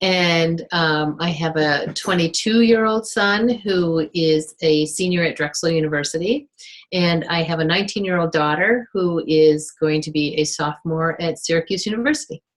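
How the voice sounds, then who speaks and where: In a normal speaking voice, a woman talks at a moderate pace with a fairly low pitch, ordinary pitch variation and hardly any pauses. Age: 60s. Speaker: life coach and author. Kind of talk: interview.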